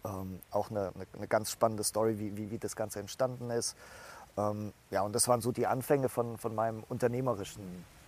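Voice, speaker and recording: Fairly quick delivery with fairly even intonation. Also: man, fairly low pitch for a man. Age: 30s. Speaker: startup founder. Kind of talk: interview. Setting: outdoors. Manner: halting.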